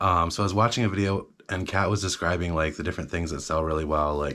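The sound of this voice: A man talks at a fast pace in a low voice. His tone is fairly bright. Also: fairly even intonation.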